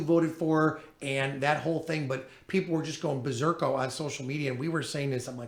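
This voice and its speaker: Amid noticeable background noise and audible room echo, a man with a fairly high voice speaks at a fairly quick pace with fairly even intonation. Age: 50s. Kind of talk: casual chat.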